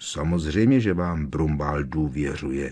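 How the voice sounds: A growling put-on character voice carries the line. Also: man.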